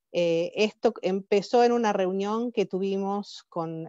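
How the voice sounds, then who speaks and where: A woman's dark, mellow voice in an Argentine accent, with fairly even intonation, a dry, close sound with no echo and a quiet background. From Argentina. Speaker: professor and conference organizer. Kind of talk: conference welcome speech. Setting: webinar. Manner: halting, with fillers and restarts.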